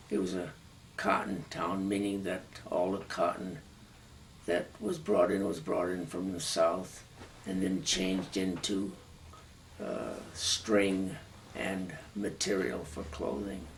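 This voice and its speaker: With an American accent and a very deep, low pitch that varies in an ordinary way, a man talks at a very slow pace with long, frequent pauses, amid audible room echo and noticeable background noise. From Massachusetts, US. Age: 80s+. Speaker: war veteran. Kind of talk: oral history interview.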